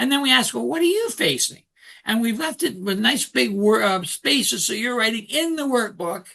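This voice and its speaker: A man speaks at a moderate pace in a raised, projected voice with a high pitch and a bright, sharp tone. His intonation is lively. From Canada. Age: 60s. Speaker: author and coach. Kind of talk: interview.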